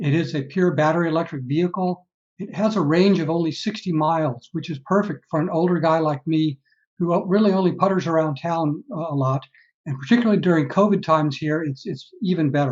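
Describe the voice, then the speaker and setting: Speaking at a fairly quick pace with a Texan accent, a man uses a high pitch and ordinary pitch variation. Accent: Texan American. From Texas, San Antonio. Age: 60s. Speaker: retired engineer, EV owner. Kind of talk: webinar talk. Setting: video webinar. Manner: halting, many fillers.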